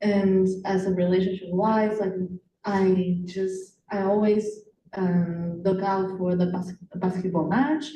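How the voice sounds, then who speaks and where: Through audible room echo, a woman of medium pitch speaks at a very slow pace with fairly even intonation. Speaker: teacher. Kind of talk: panel discussion. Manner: loud.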